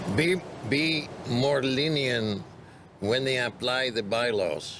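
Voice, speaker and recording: Speaking very slowly in a Greek accent, a man is heard with audible room echo and noticeable background noise. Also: medium pitch for a man, ordinary pitch variation. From Greece. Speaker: bar and restaurant owner. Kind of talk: interview.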